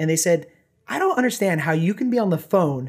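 A man with an American accent speaks very fast in a high voice with very wide pitch swings. The recording is very clean, with a silent background. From Southern California. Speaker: company founder. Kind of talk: casual chat.

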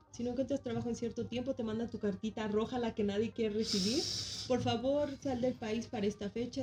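The speaker has a Mexican accent and a fairly quick pace, with fairly even intonation. Noticeable background noise can be heard. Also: woman. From Mexico. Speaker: former graduate student abroad. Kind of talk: casual chat.

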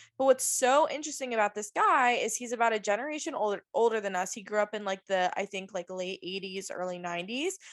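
This woman has an ordinary speaking voice with an American accent. Her pitch is fairly high and varies in an ordinary way. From US South, Virginia Beach. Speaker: podcast co-host. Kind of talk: casual chat.

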